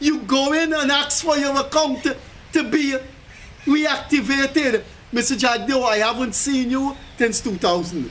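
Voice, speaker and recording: Over noticeable background noise, a man talks at a fairly slow pace in an extremely high pitch with ordinary pitch variation. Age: 70s. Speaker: pensioner and commentator. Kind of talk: public appeal; casual chat. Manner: animated.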